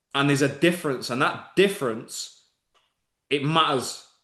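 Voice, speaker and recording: In a Mancunian accent, the speaker sounds animated, with a bright, sharp tone at a moderate pace. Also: man. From northern England, Manchester. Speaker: online business coach. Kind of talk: live webinar masterclass. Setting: live video stream.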